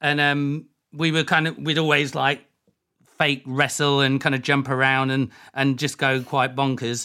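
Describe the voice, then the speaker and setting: A man's fairly high voice has a bright, sharp tone and a monotone, flat delivery at a moderate pace. His loudness stays very even in a very clean recording with a silent background. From Leicester, East Midlands, England. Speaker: dance music producer and DJ. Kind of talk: casual interview chat. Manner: halting, many fillers.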